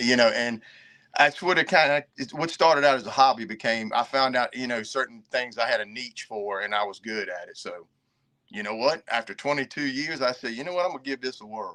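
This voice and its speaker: A man with an American accent talks at a fairly quick pace in a bright, sharp tone. His pitch varies in an ordinary way, with big swings in loudness. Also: medium pitch for a man. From Virginia. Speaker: reseller and army veteran. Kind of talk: casual chat.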